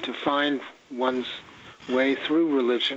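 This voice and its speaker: Against noticeable background noise, a man speaks at a fairly slow pace with a fairly high pitch. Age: 80s+. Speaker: author. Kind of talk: casual chat.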